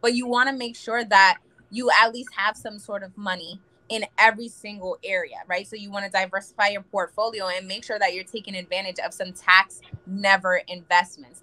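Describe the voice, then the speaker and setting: A woman talks at a fairly quick pace in a bright, sharp, animated tone, with big swings in loudness. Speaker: financial representative; guest. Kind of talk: talk show interview. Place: home room. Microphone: video call.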